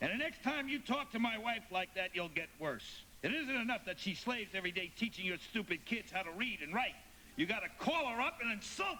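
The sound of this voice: Using a put-on character voice, a man speaks high with big pitch swings and a bright, sharp tone. He goes at a fairly quick pace but leaves long, frequent pauses.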